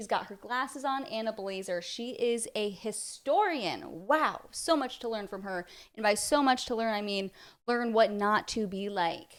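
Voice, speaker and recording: A woman's fairly high voice with ordinary pitch variation and big swings in loudness, on a very clean recording with a silent background. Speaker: reaction video commentator. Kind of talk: reaction commentary. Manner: fast; sarcastic.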